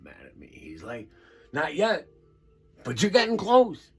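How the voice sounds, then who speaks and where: A man speaks with music in the background. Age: old. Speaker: storyteller vlogger, stroke survivor. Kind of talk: casual storytelling monologue.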